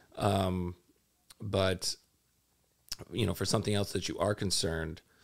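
Speaking at a fairly slow pace, a man uses a very deep, low pitch with vocal fry. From Minneapolis. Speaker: FBI cyber agent. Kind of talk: interview.

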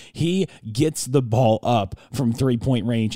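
In a dry, close sound with no echo, the voice carries a relaxed, dark, mellow tone at a very slow pace. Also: man. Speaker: college basketball podcast co-host and analyst. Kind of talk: conversational sports analysis, offering opinions between the stat recaps. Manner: relaxed, conversational, opinionated.

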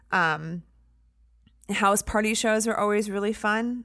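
Heard in a very clean recording with a silent background, a woman with an American accent and an ordinary speaking voice talks at a moderate pace, medium in pitch, her intonation fairly even. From US Midwest, Indiana. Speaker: photographer and comedy show producer. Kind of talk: casual interview.

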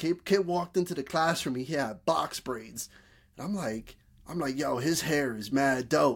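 Speaking at a fairly slow pace with a northeastern US accent, a man has a fairly high pitch and ordinary pitch variation. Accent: urban northeastern US. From Bridgeport, Connecticut. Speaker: podcast host. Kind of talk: casual conversation.

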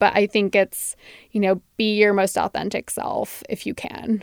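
A woman with a Californian accent speaks at a moderate pace and medium pitch, her intonation monotone and flat. The recording is very clean with a silent background and a dry, close sound with no echo. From San Francisco Bay Area. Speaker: publicist. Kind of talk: interview conversation. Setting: studio.

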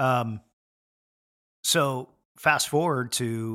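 With a Pacific Northwest accent, this bright, sharp voice moves through ordinary pitch variation on a very clean recording with a silent background. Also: man. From Washington State, Puget Sound. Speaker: sports chaplain, former pastor. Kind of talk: casual interview. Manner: halting, many fillers and repeats.

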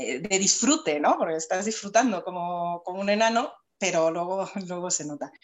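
A woman uses a normal speaking voice, medium in pitch, moving at a moderate speed with ordinary pitch variation. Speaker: writing teacher and author. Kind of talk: casual chat.

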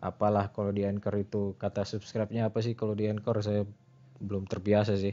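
At a very fast pace, a man with fairly low pitch speaks in a monotone with flat intonation. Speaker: podcaster. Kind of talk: casual solo monologue. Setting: at home. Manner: halting, many fillers.

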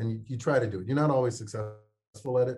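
A somewhat breathy man's voice with fairly even intonation. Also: very clean recording, silent background. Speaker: researcher. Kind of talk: interview answer.

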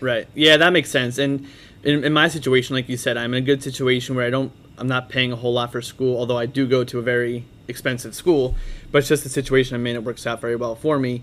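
A man speaks at a very fast pace. His medium-pitched voice is monotone and flat. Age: 20s. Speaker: podcast host. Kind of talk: casual interview.

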